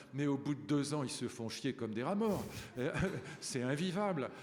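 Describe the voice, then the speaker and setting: Audible room echo surrounds a man's voice. He has a fairly high pitch and lively intonation. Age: 70s. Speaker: professor. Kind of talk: panel discussion. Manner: animated.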